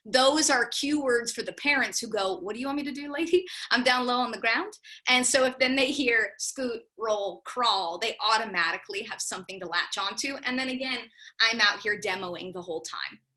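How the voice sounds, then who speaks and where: Lively intonation and a bright, sharp tone mark this woman's high-pitched voice. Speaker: drama teacher for young children. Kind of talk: workshop presentation. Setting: video call. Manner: fast.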